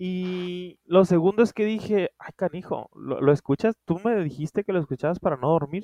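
A man with a high-pitched voice and a dark, mellow tone speaks at a moderate pace with ordinary pitch variation, the sound dry and close with no echo. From Culiacán, Sinaloa, Mexico. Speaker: podcast co-host, writer. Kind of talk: casual chat. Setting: remote recording.

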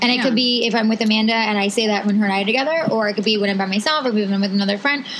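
A woman speaks at a fairly high pitch with fairly even intonation. Noticeable background noise sits behind her. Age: 30s. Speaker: podcast co-host. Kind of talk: casual chat. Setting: outdoors.

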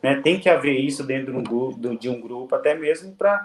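With an ordinary speaking voice, this man keeps a medium tempo and normal ups and downs in pitch. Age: 30s. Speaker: professional footballer. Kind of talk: casual interview. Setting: video call.

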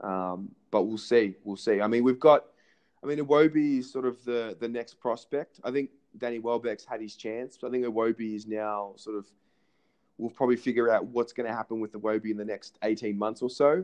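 A man with an Australian accent speaks at a moderate pace. His medium pitch follows fairly even intonation. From Australia, Melbourne. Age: 20s. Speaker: podcast host and amateur sports coach. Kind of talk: casual interview chat. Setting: phone call.

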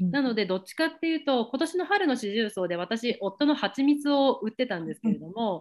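Very wide pitch swings at a moderate pace, with hardly any pauses. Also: woman, high pitch for a woman. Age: 30s. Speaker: relocation advisor. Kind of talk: casual interview. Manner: frequent fillers and laughter.

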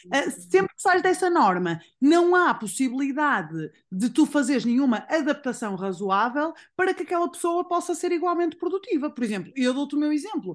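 A woman's high-pitched voice with very wide pitch swings, over a quiet background. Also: moderate pace. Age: 30s. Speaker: nutritionist. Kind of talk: casual chat.

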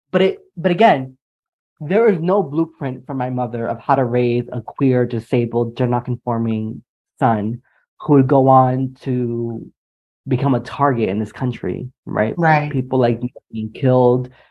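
At a fairly slow pace, a man speaks in an ordinary speaking voice at medium pitch with ordinary pitch variation. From New Jersey, Puerto Rican family. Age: 30s. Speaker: podcast co-host, writer. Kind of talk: casual chat.

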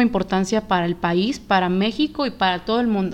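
A woman's plain, everyday voice, medium in pitch, with ordinary pitch variation and a moderate pace. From Mexico. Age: 20s. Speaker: podcast host. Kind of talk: casual chat.

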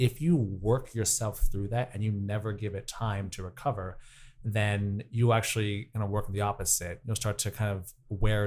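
A man's fairly low voice comes across as somewhat breathy. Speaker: personal trainer and professional dancer. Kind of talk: interview.

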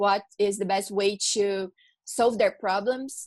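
With a Portuguese accent, a woman speaks at medium pitch and a fairly slow pace against a quiet background. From Brazil. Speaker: law student co-host. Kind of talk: interview.

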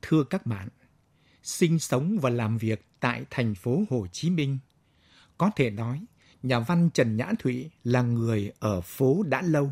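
Very slowly, a man at medium pitch speaks with lively intonation and a somewhat breathy voice. The sound is dry and close with no echo, and the recording is very clean with a silent background. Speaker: radio announcer. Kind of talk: radio announcement.

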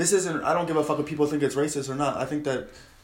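A man with an American accent talks very fast in a fairly high pitch and a flat monotone, with audible room echo and noticeable background noise. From Long Island, New York. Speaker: comedian. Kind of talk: casual chat.

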